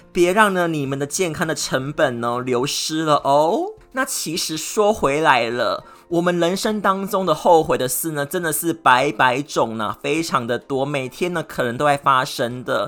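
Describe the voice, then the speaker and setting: With hardly any pauses, a man talks at a moderate pace and a fairly high pitch. His intonation is lively, and background noise is noticeable. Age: 40s. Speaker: podcast host. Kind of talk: solo monologue. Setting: indoors with air conditioning. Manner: animated.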